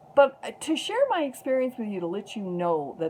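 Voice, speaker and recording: A woman's voice amid noticeable background noise. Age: 60s. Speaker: activist vlogger. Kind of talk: personal testimony vlog.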